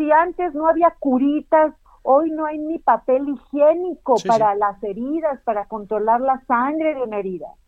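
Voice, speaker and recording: High-pitched woman's speech with lively intonation. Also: moderate pace. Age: 50s. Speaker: senator and former TV news anchor. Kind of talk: interview. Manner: halting.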